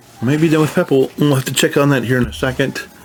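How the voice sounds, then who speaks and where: The speaker is a man with an American accent. Background noise can be clearly noticed. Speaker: gaming youtuber. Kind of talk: casual game walkthrough. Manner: casual, halting with restarts.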